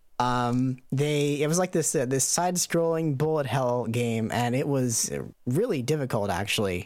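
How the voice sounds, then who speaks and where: With an unremarkable speaking voice, a man talks at a moderate pace and medium pitch, his intonation lively, on a very clean recording with a silent background. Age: 30s. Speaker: YouTube video editor. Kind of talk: interview.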